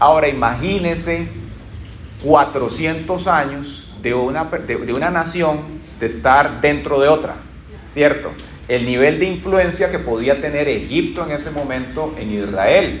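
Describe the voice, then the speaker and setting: A man with a Costa Rican accent, fairly high-pitched, at a fairly slow pace, with audible room echo and noticeable background noise. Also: ordinary pitch variation. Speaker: pastor. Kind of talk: sermon.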